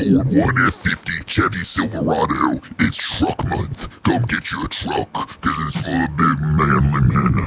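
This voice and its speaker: Taking a fairly slow pace, the speaker performs in a put-on character voice. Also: man, very deep, low pitch for a man. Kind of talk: exaggerated ad-voice parody. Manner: loud, macho, hard-sell, mocking.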